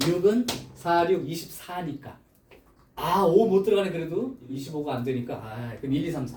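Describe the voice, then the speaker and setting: A man's high-pitched voice at a moderate pace, lively in intonation and swinging widely in loudness, with noticeable background noise and audible room echo. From Chungcheong, South Korea. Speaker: math tutor. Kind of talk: lecture.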